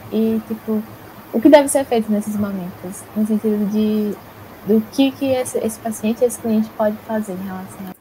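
The voice moves at a moderate pace with fairly even intonation and big swings in loudness, set against noticeable background noise. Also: woman, fairly high pitch for a woman. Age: young. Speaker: psychology student, podcast host. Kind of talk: interview.

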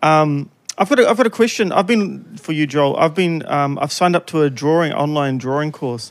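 A man with a New Zealand accent talks at a fairly quick pace, his fairly high pitch carried by lively intonation. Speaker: podcast host. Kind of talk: casual banter podcast chat.

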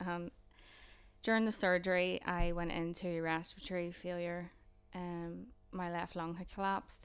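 A woman's fairly low voice in a Northern Irish accent, with monotone, flat intonation. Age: 20s. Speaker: student mental health nurse. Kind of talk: casual chat, personal testimony.

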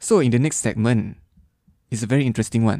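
A man speaks with a Malaysian accent at a fairly quick pace. His voice is fairly low, with a dark, mellow tone. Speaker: podcast co-host. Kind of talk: casual chat. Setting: studio.

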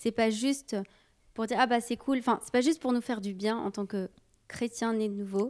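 A woman with an ordinary speaking voice, fairly high pitch, fairly even intonation, moderate pace and big swings in loudness, in a very clean recording with a silent background. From Brazilian and Sicilian heritage. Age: 30s. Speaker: youth leader. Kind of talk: casual chat.

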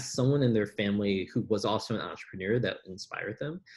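A man with an American accent, fairly low in pitch, talking at a very fast pace with ordinary pitch variation. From US Midwest, Chicago South Side. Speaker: entrepreneur. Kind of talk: casual interview chat. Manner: calm, thoughtful.

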